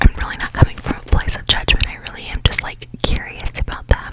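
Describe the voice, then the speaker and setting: Whispered words from a woman, moderate in pace, with noticeable background noise behind them. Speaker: ASMR podcast host. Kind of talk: ASMR podcast, relaxed rambling talk. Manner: relaxed, casual, conversational.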